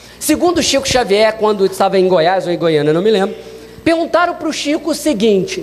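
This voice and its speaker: With noticeable background noise and audible room echo, a man speaks fairly quickly in a high voice whose pitch swings very widely. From Minas Gerais, Brazil. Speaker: spiritist lecturer. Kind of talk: lecture.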